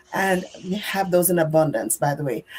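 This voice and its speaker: Speaking in a Jamaican accent, a woman of medium pitch talks at a fairly slow pace with ordinary pitch variation. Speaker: nurse. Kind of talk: group sharing on live stream.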